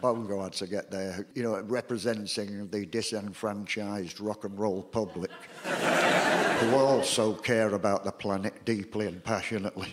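The speaker has a Salford accent. The pace is fairly slow. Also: man. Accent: Salford, northern English. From Salford, England. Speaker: performance poet. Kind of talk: comic stage patter. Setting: live theatre audience. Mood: wry, sardonic storytelling. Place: home room.

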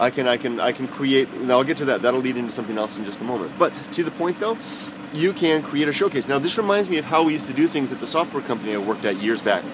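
Over noticeable background noise, a man with a medium pitch talks at a very fast pace with lively intonation. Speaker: YouTube vlogger. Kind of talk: casual vlog monologue. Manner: halting, many fillers and repeats.

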